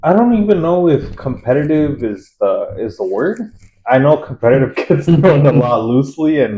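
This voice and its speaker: At a moderate pace, a man speaks in a somewhat breathy, fairly high voice with very wide pitch swings. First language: Spanish. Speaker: gamer. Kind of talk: casual chat.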